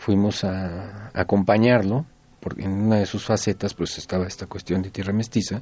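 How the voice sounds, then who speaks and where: A man's fairly low, dark, mellow voice in a Mexico City accent, at a moderate pace with fairly even intonation, against a quiet background. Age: 60s. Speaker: folk musician. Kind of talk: radio interview.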